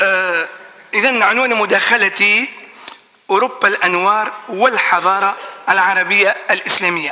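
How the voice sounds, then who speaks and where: Amid noticeable background noise, a man with an Arabic accent uses a raised, projected voice at a high pitch, speaking very slowly with ordinary pitch variation and long, frequent pauses. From Tunisia. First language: Arabic (speaking French). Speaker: professor. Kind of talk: conference talk. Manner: hesitant, many fillers.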